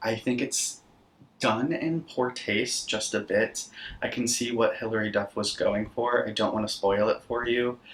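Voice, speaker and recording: The speech moves at a fairly slow pace with fairly even intonation, over noticeable background noise. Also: man, medium pitch for a man. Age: 20s. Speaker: horror content creator and podcaster. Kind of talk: casual talk to camera, film recap.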